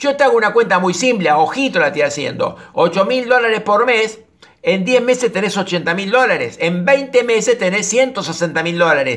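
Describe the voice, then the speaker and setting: Against noticeable background noise, a man with a high pitch speaks at a moderate pace with lively intonation. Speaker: personal development coach. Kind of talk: reading listener mail with commentary.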